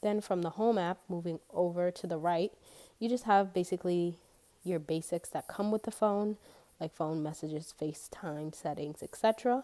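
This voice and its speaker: A woman's dark, mellow tone with ordinary pitch variation and moderate pace, in a dry, close sound with no echo. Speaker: YouTuber. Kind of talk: casual talk to camera.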